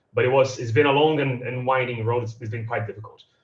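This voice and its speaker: A man with a Portuguese accent speaks at a medium pitch. His voice sounds somewhat breathy. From Brazil, São Paulo. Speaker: democracy advocate. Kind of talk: panel talk. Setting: video call from home. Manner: halting, repeats words.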